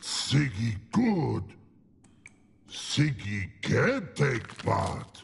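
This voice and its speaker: Using a put-on character voice, a man growls at a medium pitch. He speaks at a very slow pace, with long, frequent pauses. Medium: video game. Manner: broken halting speech.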